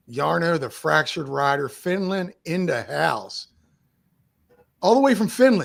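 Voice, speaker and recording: A loud, animated man with a high pitch and very wide pitch swings talks at a fairly slow pace, with long, frequent pauses. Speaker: mountain bike podcast host. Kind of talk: casual chat.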